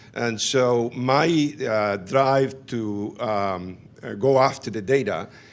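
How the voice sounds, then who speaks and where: Medium-pitched male speech, its pitch moving in an ordinary way. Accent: non-native. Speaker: physician and HIV researcher, professor. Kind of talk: conference talk.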